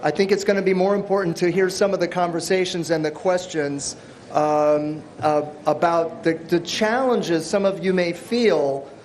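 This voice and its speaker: Noticeable background noise and audible room echo surround speech at a moderate pace, with ordinary pitch variation and very even loudness. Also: man, high pitch for a man. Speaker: workshop presenter. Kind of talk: workshop lecture.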